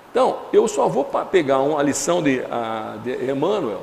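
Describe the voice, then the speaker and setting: Audible room echo surrounds a man's voice. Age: 60s. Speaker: spiritist lecturer. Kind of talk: lecture. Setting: lecture hall with audience. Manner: halting, many fillers and restarts.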